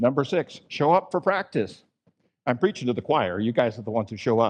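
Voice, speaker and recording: A medium-pitched male voice with an American accent, fairly quick pace and very wide pitch swings. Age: 60s. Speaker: pastor. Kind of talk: sermon. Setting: church.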